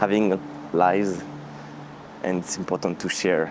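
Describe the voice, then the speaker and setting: Over noticeable background noise, a man with a strong French accent speaks at a very deep, low pitch with fairly even intonation. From France. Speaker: vlogger and music orchestrator. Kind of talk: casual vlog. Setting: outdoors walking in rain. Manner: halting with many fillers.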